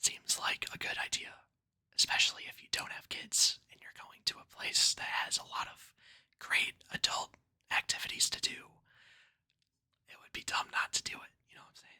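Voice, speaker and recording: Whispering comes at a moderate pace, broken by long, frequent pauses. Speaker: ASMR creator. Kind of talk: ASMR storytelling and commentary. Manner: casual, relaxed.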